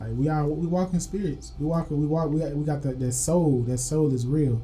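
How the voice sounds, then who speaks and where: Fairly quick and fairly high-pitched, a man speaks with music in the background and audible room echo. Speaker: podcast co-host. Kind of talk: casual chat. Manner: animated.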